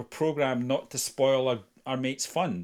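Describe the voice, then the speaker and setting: A man with a Scottish accent, medium pitch and ordinary pitch variation, on a very clean recording with a silent background. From Scotland. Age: 50s. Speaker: retired police officer, violence prevention trainer. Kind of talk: interview conversation. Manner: halting, frequent repetitions.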